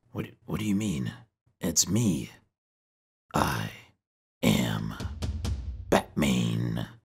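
A raspy, cartoonish character voice from a man, very deep and low yet with very wide pitch swings, very slow, with long, frequent pauses. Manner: indignant, whiny rant.

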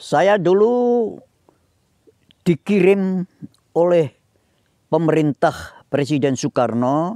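Speaking at a very slow pace with long, frequent pauses, a man with a Javanese accent has a high pitch and a dark, mellow tone, in a quiet background with dry sound and no echo. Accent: Javanese-accented Indonesian (medok). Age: 80s+. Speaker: Indonesian exile and retiree; interviewee. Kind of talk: interview, life story. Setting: outdoors in a garden. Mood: calm, reflective, sometimes animated. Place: garden.

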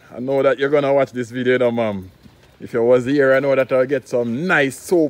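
A man with a Jamaican accent speaks in a dry sound with no echo. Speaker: vlogger and concrete products maker; vlogger. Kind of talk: casual vlog narration. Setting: outdoors in the rain. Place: open country. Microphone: phone near.

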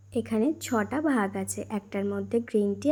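This woman's voice is somewhat breathy, with a dark, mellow tone, a fairly high pitch and ordinary pitch variation. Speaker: vlogger. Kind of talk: casual vlog narration.

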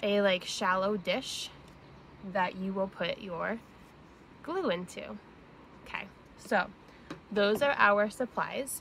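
A woman speaks at a very slow pace with long, frequent pauses, the sound dry with no echo and light background noise present. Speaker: teacher or parent doing a kids' craft. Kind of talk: tutorial. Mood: cheerful, warm. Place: garden. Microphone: phone near.

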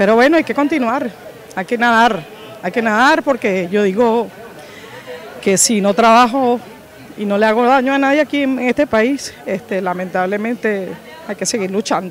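A woman at a fairly high pitch with ordinary pitch variation, a moderate pace and long, frequent pauses, in a dry sound with no echo and crowd noise in the background. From Venezuela, Caracas. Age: 40s. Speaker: street food vendor. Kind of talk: interview testimony. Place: street. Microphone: handheld.

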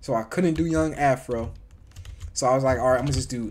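The tone is animated, with light background noise behind the speech. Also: man. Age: young. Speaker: gaming streamer. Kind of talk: live gameplay commentary. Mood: relaxed, amused. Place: home room.

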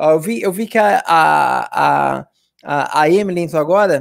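A man speaks with a Brazilian accent against a quiet background. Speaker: English teacher. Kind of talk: tutorial. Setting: live stream. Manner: animated. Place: home room. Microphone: studio mic.

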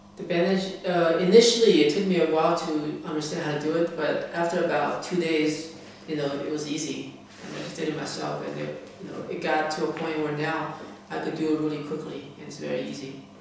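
Strong room echo and light background noise surround a voice with fairly even intonation. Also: man. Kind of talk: interview answer. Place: home room. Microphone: camera far.

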